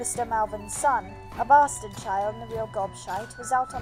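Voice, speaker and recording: Music plays behind a woman's voice. She speaks at a moderate pace. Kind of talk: fiction reading.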